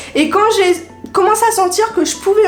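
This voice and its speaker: A woman speaks with music in the background. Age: 20s. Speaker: freelance online communications worker. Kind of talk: casual talk to camera.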